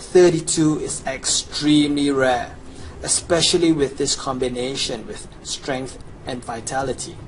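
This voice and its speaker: A man with a fairly high pitch speaks with ordinary pitch variation. Audible room echo and noticeable background noise are present. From Chinese background. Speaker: gamer. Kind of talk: game tutorial, promotional pitch. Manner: animated.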